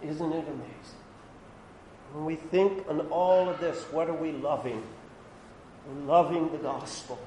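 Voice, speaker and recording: Audible room echo surrounds a man with a fairly high pitch who talks at a fairly slow pace in a fairly even intonation. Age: 60s. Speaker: pastor. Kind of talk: sermon. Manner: halting.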